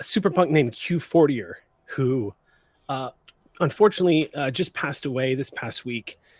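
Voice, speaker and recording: A man puts on a raspy character voice, fairly high in pitch, with lively intonation. He keeps a moderate pace with long, frequent pauses. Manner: subdued, apologetic, mournful.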